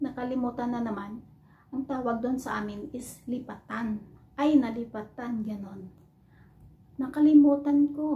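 At a fairly slow pace, a woman speaks in a high voice with ordinary pitch variation and big swings in loudness. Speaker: overseas Filipino worker vlogger. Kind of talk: casual vlog, teaching words to camera. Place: home room. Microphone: phone near.

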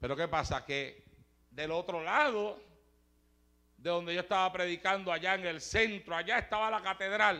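Against a quiet background, a high-pitched man with a bright, sharp, animated tone and ordinary pitch variation moves at a moderate pace with long, frequent pauses. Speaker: preacher. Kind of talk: sermon.

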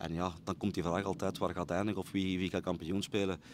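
A man with a Brabant Flemish accent talks at a very fast pace in a very deep, low pitch with monotone, flat intonation. The sound is dry with no echo, over light background noise. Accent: Flemish (Brabant) Dutch. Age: 40s. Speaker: football coach. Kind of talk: interview. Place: stadium. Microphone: handheld.

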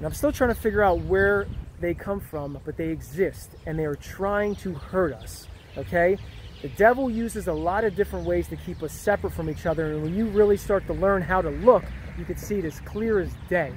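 Over light background noise, a man speaks at a fairly quick pace in a dry sound with no echo. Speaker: vlogger. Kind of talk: casual vlog chat. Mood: earnest, preachy. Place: street. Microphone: phone near.

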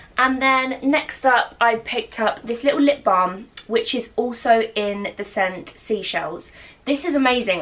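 Noticeable background noise behind a woman's fairly high voice, moderate pace, ordinary pitch variation. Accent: English. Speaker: lifestyle vlogger. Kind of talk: casual vlog haul. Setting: at home. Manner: chatty.

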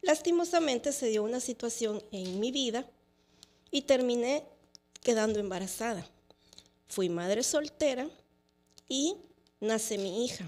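A woman's high-pitched voice at a fairly slow pace, with long, frequent pauses. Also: lively intonation. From El Salvador. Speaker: lawyer and entrepreneur; lawyer. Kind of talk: testimony. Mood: reflective, sometimes sad. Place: studio. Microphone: studio mic.

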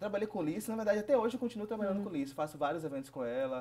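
A man with lively intonation. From Bahia, Brazil (Ubatã, south of the state); Bahia, Brazil. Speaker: event promoter, photographer and blogger; blogger. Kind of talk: interview. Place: studio. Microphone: lapel.

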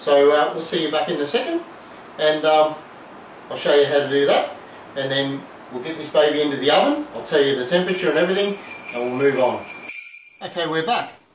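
There is audible room echo and light background noise as a man speaks at a fairly quick pace. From Australia. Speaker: home cooking video host. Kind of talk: cooking tutorial. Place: kitchen. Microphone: camera far.

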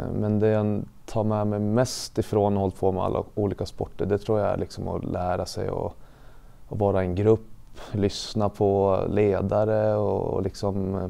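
A man's fairly low, dark and mellow voice, fairly slow in pace and flat in a monotone. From Sweden, Gävleborg (Sätra, Gävle); Sweden. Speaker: elite ice hockey player; interviewee. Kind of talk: interview testimony. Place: studio. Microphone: lapel.

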